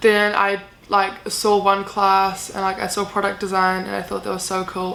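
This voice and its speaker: A woman with a New Zealand accent, a medium pitch and a bright, sharp tone, at a moderate pace with monotone, flat intonation and audible room echo. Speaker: university student vlogger. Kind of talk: casual Q&A vlog. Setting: bedroom. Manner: casual, many fillers.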